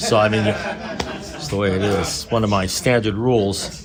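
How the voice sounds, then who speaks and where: A man's fairly low-pitched voice at a moderate pace, with noticeable background noise. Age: 70s. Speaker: AA speaker. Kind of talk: recovery talk. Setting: meeting room with small audience. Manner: casual, rambling with fillers.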